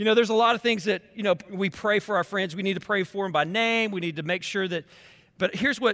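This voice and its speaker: Over a very clean recording with a silent background, a man speaks in a raised, projected voice with a high pitch, an animated tone and a bright, sharp quality. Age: 40s. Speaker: pastor. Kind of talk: sermon.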